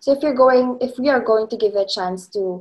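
A woman's slightly mellow voice at a moderate pace, with fairly even intonation.

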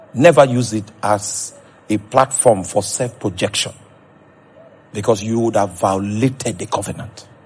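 A man's passionate, fairly low-pitched voice over noticeable background noise. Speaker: preacher. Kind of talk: sermon.

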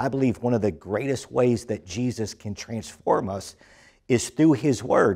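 A man talks at a moderate pace in a dark, mellow tone. His pitch varies in an ordinary way over a quiet background. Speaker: church pastor. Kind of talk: sermon welcome address.

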